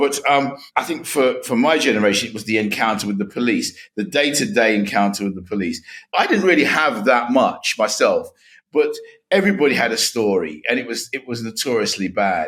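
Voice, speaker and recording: Speaking at a fairly quick pace in a London accent, a man at medium pitch uses very wide pitch swings. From England, northwest London. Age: 60s. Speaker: author and education commentator. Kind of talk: interview.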